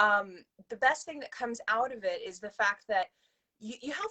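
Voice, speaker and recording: A woman with a bright, sharp tone and fairly high pitch talks fairly quickly with lively intonation, recorded dry and close with no echo. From Louisiana (Lafayette). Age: 30s. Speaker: actor and writer. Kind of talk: interview. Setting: livestream.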